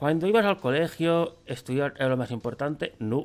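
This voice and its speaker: A man talks at a fairly slow pace with ordinary pitch variation while faint music plays in the background. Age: 30s. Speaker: YouTuber. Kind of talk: casual commentary reacting to online quiz. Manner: animated. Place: home room.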